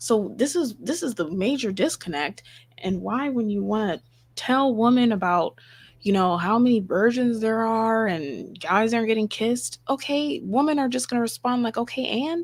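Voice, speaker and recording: A woman with lively intonation at a moderate pace, on a very clean recording with a silent background. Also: fairly high pitch for a woman. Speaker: livestream host. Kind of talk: live stream commentary. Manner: whispering.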